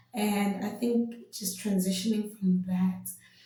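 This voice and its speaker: A woman at a medium pitch and fairly slow pace, with audible room echo. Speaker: vlogger. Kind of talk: casual vlog monologue. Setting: home video, pretend mic. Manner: loud, bubbly.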